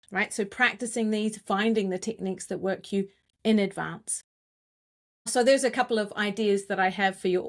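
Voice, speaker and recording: The speaker has a New Zealand accent and a monotone, flat intonation. The pace is moderate, and the recording is very clean with a silent background. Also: woman, medium pitch for a woman. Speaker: communications coach. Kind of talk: interview conversation.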